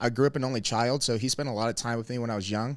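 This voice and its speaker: Medium pitch from a male speaker, varying in an ordinary way. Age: 20s. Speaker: pro wrestler and strength coach. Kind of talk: podcast interview. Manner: soft-spoken at times.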